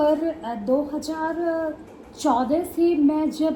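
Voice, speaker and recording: A woman speaks with a Bihari accent and ordinary pitch variation. Noticeable background noise is present. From eastern Uttar Pradesh, India (Gorakhpur). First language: Bhojpuri (speaking Hindi). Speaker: poet. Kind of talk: interview.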